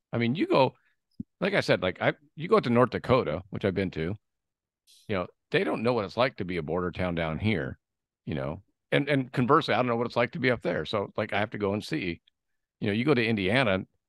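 A man with an American accent and fairly low pitch talks at a very fast pace, his pitch swinging very widely, with long, frequent pauses, a quiet background and a dry sound with no echo. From San Diego, California; California. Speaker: podcast host and sales rep; podcast host, sales rep. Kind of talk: casual interview. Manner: animated. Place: home room. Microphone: studio mic.

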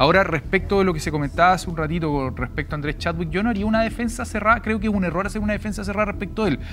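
Over light background noise, the speech races along at a very fast pace with ordinary pitch variation and hardly any pauses. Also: man, high pitch for a man. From Chile. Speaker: political panelist; panelist. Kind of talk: panel debate. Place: studio. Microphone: lapel.

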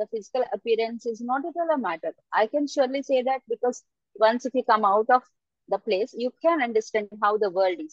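Speaking at a fairly quick pace with ordinary pitch variation, a woman is heard in a dry sound with no echo and a quiet background. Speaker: external examiner. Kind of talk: examiner feedback to student. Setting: video call. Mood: encouraging, advising. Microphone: video call.

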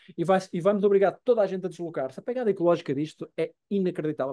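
Against a quiet background, a man with a high voice and a dark, mellow tone talks at a very fast pace, with ordinary pitch variation and a dry sound that has no echo. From Portugal. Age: 50s. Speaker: journalist and documentary maker; journalist guest. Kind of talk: interview conversation; interview answer. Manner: halting. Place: home room. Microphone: video call.

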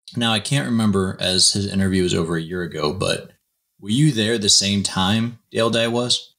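A man with a plain, everyday voice and a fairly low pitch speaks at a moderate pace on a very clean recording with a silent background. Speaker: podcast host. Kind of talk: interview.

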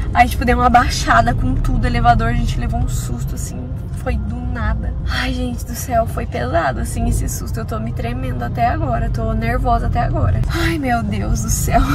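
A woman at a moderate pace with hardly any pauses, clear music in the background. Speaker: vlogger. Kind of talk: casual vlog chat. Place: car. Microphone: phone near.

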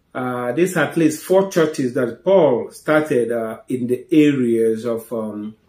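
A man speaks in a dark, mellow tone. Audible room echo surrounds him over a quiet background. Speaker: preacher, Bible teacher. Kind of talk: Bible teaching talk. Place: home room.

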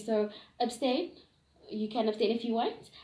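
Somewhat breathy, a woman speaks at a fairly high pitch with audible room echo. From South Africa, Gauteng. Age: 20s. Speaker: young interviewee. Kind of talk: interview answers. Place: home room. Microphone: camera far.

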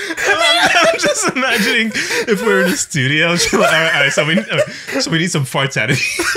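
Loud background noise surrounds a man speaking at a moderate pace. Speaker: podcast co-host. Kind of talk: casual podcast banter. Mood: joking, laughing. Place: home room. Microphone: studio mic.

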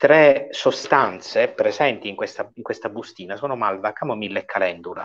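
A man speaks against a quiet background. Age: 40s. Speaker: doctor; guest. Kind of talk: informal medical Q&A. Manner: animated. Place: home room. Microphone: earbuds.

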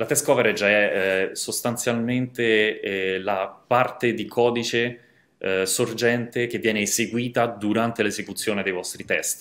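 A man talks fairly slowly with fairly even intonation. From Rome, Italy; Italy. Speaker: software developer, conference speaker; conference speaker. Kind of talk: conference talk. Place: home room.

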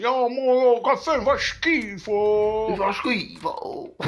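On a very clean recording with a silent background, a man speaks in an animated tone. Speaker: gaming youtuber telling a story. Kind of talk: angry rant, story time with swearing and mocking impressions. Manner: animated, loud, exasperated, fast, laughing at himself; swearing and insulting, indignant.

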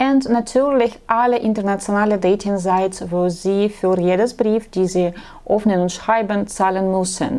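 A woman talks at a fairly slow pace in a dark, mellow tone. Her pitch sits in the medium range. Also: very even loudness. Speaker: matchmaking agency blogger; dating advice host. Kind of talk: vlog monologue; talk to camera, advice monologue. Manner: halting, with filler sounds. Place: office. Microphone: lapel.

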